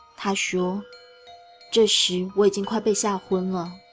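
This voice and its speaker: Music plays in the background as a woman speaks at a fairly slow pace. Her medium-pitched voice is monotone and flat. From Taiwan. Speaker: story reader, streamer. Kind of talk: horror story reading, narration.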